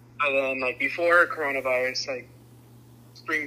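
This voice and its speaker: A man speaks at a moderate pace with a fairly high pitch. Noticeable background noise runs under his voice. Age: young. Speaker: college student. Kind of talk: interview.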